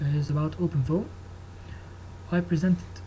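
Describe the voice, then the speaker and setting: Speaking in an Egyptian accent, a man with a fairly high pitch and a dark, mellow, somewhat breathy tone swings his pitch very widely. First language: Arabic. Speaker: engineering student. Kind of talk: tutorial. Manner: halting.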